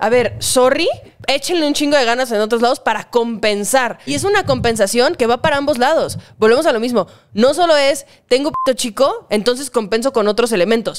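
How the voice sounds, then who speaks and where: The speaker has a Mexican accent and a fairly quick pace with lively intonation. Loudness stays very even over a quiet background. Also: woman. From Mexico. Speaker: online content creator. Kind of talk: casual chat. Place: home room. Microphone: studio mic.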